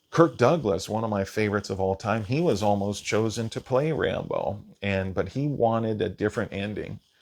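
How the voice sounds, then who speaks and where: Fairly quick speech in an American accent, with hardly any pauses and ordinary pitch variation. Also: man, fairly low pitch for a man. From Washington State, US. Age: 40s. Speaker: movie reviewer. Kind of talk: solo movie review monologue. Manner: casual, hesitant with fillers.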